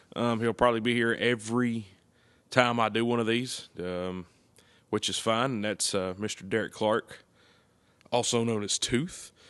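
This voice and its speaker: Against a quiet background, a man with a Tennessee accent talks at a moderate pace and medium pitch, his intonation fairly even and broken by long, frequent pauses. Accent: Southern US (Tennessee). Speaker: podcast host. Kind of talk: casual chat.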